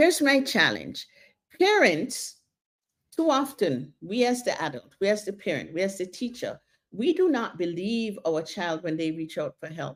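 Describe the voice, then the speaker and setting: The voice shows vocal fry and very wide pitch swings. Its pace is moderate. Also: woman, medium pitch for a woman. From Jamaica. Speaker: counsellor / therapist. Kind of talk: talk / seminar on mental health.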